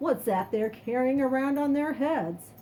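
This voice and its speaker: Putting on a character voice, a woman uses a high pitch and lively intonation against clear background noise. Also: moderate pace. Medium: read story. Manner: folksy, patient.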